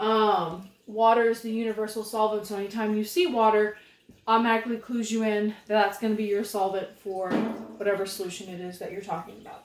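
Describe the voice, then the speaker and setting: Fairly quick, fairly high female speech in a plain, everyday voice. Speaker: chemistry teacher. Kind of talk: tutorial. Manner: casual.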